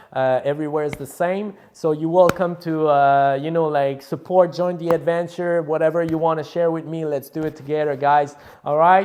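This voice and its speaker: At a moderate pace and with hardly any pauses, a man speaks in a fairly high pitch. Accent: Quebec. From Quebec, South Shore of Montreal. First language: French. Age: 30s. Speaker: rapper and music producer. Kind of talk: casual vlog monologue. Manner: animated; halting.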